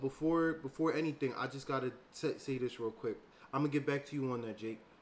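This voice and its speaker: At a fairly quick pace, a man speaks in a fairly high pitch. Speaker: streamer. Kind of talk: casual chat. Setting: live stream. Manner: halting.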